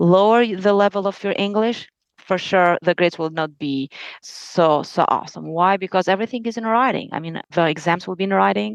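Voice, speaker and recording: Talking at a fairly quick pace with ordinary pitch variation, the voice comes through dry and close with no echo over a quiet background. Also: woman, medium pitch for a woman. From Albania. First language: Albanian. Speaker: lawyer. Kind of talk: interview.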